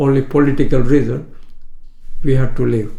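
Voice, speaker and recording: A man with a medium-pitched, dark and mellow voice, somewhat breathy, speaks at a moderate pace with fairly even intonation in a room with audible echo. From Kenya (Indian-born, raised in Kenya). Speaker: retired shopkeeper. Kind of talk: life story interview. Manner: halting, with frequent hesitations.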